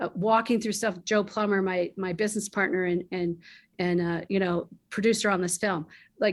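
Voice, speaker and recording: In a very clean recording with a silent background, a woman uses an ordinary speaking voice, medium in pitch, at a moderate pace with fairly even intonation. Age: 60s. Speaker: film producer and studio founder. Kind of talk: interview conversation.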